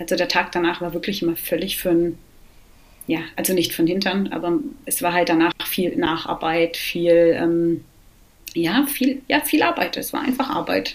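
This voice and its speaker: In a plain, everyday voice, a woman speaks at a moderate pace with a fairly low pitch and lively intonation. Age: 40s. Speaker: recovering alcoholic, mother. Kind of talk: interview, personal testimony.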